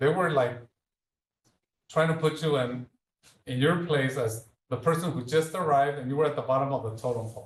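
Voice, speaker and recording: Pausing long and often, a man with a slight Mexican accent talks in a somewhat breathy, fairly high voice with fairly even intonation. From Mexico (Leon, central Mexico). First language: Spanish. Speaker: speaker series guest, healthcare leader. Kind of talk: public talk with Q&A.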